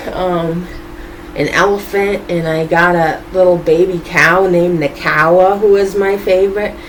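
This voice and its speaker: A woman talks with an American accent and fairly even intonation. The recording has noticeable background noise and audible room echo. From Boston, US. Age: 20s. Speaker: YouTuber, vlogger. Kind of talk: casual vlog monologue.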